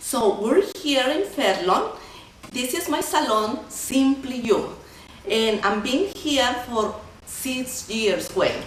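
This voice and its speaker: A woman's high-pitched voice in a Mexican accent at a very slow pace, with very wide pitch swings, noticeable background noise and audible room echo. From Mexico. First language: Spanish. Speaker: salon owner and entrepreneur. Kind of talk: casual interview. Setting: in her hair salon.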